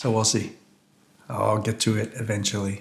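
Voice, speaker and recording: Fairly quick, somewhat breathy mumbling from a man with a fairly low pitch. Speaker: food reviewer. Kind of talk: casual food review vlog. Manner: casual, halting.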